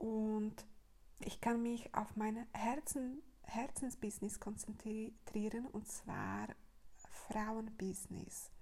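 Speaking at a very slow pace, a woman uses a fairly high pitch with monotone, flat intonation. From Slovakia. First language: Slovak (speaking German). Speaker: podcaster and women's business coach. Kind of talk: casual monologue. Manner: halting, many fillers.

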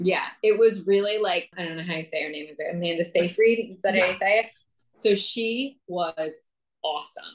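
A woman with an unremarkable speaking voice, ordinary pitch variation, big swings in loudness and a moderate pace. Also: medium pitch for a woman. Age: 30s. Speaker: podcast co-host. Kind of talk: casual chat.

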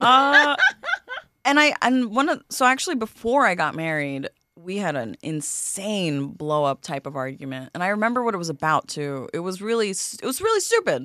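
A woman speaks at a moderate pace in a New York accent, her medium pitch making very wide swings. Her tone is bright and sharp, and the recording is very clean with a silent background. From New York (Queens, Flushing). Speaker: comedian. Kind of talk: casual chat.

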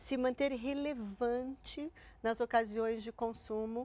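A woman speaks at a fairly slow pace in a fairly high pitch with ordinary pitch variation, an unremarkable speaking voice. The recording is very clean, with a silent background. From Santo André, São Paulo, Brazil. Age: 50s. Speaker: corporate relations executive. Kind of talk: interview.

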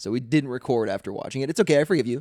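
A man speaks with vocal fry in a dry, close sound with no echo. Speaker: podcast host. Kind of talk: casual chat.

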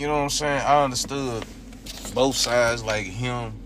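A man is speaking. Room echo is audible, and background noise is noticeable. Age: 20s. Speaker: podcast co-host. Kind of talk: casual chat.

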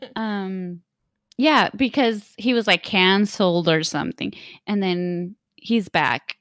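A woman's medium-pitched voice at a very slow pace. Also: ordinary pitch variation, dry, close sound with no echo. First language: not English. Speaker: true crime podcast co-host. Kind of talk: casual chat.

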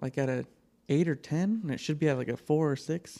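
At a moderate pace, this is a plain, everyday voice with an American accent. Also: man. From Reno, Nevada. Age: 30s. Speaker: podcast co-host. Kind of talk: casual chat. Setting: studio.

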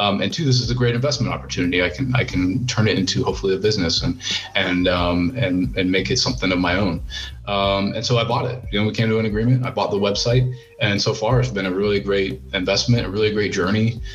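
An American-accented man with a fairly low pitch talks at a very fast pace with lively intonation, with audible room echo and noticeable background noise. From US, Ohio. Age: 20s. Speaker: investing blogger and geopolitical analyst. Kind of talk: casual interview. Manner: halting, many fillers and repetitions.

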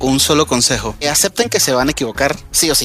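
Music plays in the background as a man with a fairly high pitch talks at a very fast pace. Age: 30s. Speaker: software developer. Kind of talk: interview.

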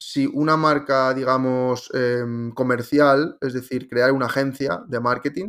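Using an ordinary speaking voice, a man talks at a fairly slow pace in a medium pitch, with fairly even intonation and hardly any pauses. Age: 30s. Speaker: digital marketing consultant. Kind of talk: interview.

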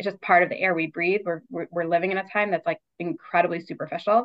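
A woman with a Baltimore accent talks at a fairly quick pace. Her pitch is medium and her intonation fairly even. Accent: American, Baltimore. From US, Baltimore. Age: 30s. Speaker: clinical social worker, book editor. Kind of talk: casual interview.

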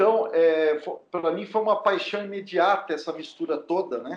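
A man talks at a moderate pace. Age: 40s. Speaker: podcast co-host. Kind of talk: casual chat. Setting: remote recording from home.

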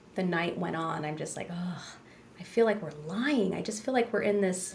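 Noticeable background noise accompanies speech with ordinary pitch variation. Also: woman. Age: 40s. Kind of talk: casual interview conversation.

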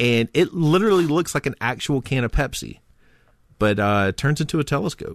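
A plain, everyday voice comes from a man with a fairly high pitch and lively intonation. The sound is dry and close with no echo, over a quiet background. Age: 30s. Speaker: podcast co-host. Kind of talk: casual chat.

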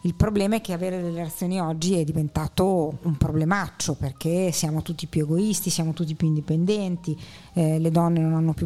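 A woman with a fairly low pitch talks at a fairly quick pace with fairly even intonation over noticeable background noise. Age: old. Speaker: podcast guest, theatre enthusiast. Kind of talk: casual chat about film.

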